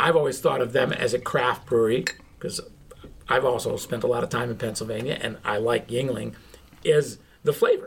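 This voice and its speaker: This is a man talking at a moderate pace. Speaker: podcast co-host. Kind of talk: casual chat.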